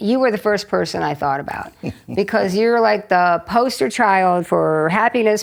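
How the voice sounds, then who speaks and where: Here a woman has an ordinary speaking voice at medium pitch, with lively intonation and a moderate pace. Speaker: retired physician, interviewer. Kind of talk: interview questions.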